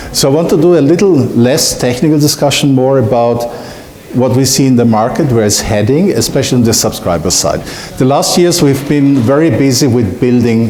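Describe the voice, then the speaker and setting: A man's medium-pitched voice at a moderate pace, with ordinary pitch variation and very even loudness, plus noticeable background noise and audible room echo. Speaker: solutions engineer. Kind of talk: conference talk.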